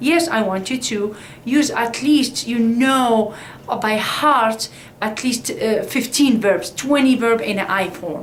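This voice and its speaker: A woman speaks at a very slow pace in an Arabic accent, her pitch fairly high with ordinary variation, amid audible room echo and noticeable background noise. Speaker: Arabic language teacher. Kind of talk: tutorial. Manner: halting.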